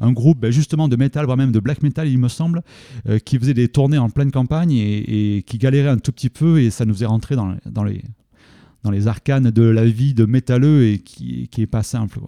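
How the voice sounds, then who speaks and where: A man's dark, mellow, medium-pitched voice at a moderate pace with ordinary pitch variation, in a very clean recording with a silent background and a dry, close sound with no echo. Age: 40s. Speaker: event organiser and geography teacher. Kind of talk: radio interview.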